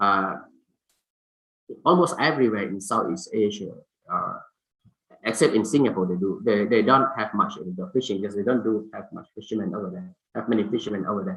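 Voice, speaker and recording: Delivered in a Thai accent at a fairly quick pace, the speech has lively intonation, big swings in loudness, long, frequent pauses and audible room echo. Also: man, fairly low pitch for a man. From Thailand. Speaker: fisheries scientist, symposium speaker. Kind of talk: conference presentation. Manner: halting, many fillers.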